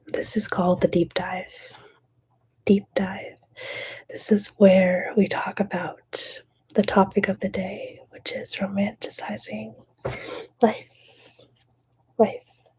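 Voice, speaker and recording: The speaker is soft-spoken and talks at a very slow pace, leaving long, frequent pauses. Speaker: ASMR creator. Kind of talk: ASMR mental health talk.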